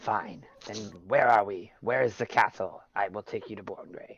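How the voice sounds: A man puts on a character voice at a medium pitch. It comes out raspy and hissing. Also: moderate pace.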